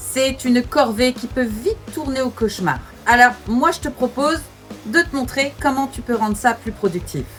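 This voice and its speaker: Backed by music, a woman speaks at a moderate pace in a high pitch with ordinary pitch variation. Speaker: mother of three, self-development and home-reset content creator. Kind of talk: casual talk to camera, motivational vlog. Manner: direct, friendly, addressing viewer as 'tu'.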